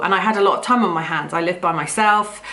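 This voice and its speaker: Against noticeable background noise and audible room echo, a woman with a British accent speaks with fairly even intonation. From UK, rural farm upbringing. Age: 40s. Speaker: vlogger. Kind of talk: personal story monologue. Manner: loud; hesitant, many fillers.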